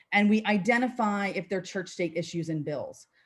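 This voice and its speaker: Speaking at a medium pitch in a New Jersey accent, a woman uses lively intonation. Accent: New Jersey American. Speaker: policy advocate. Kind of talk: presentation.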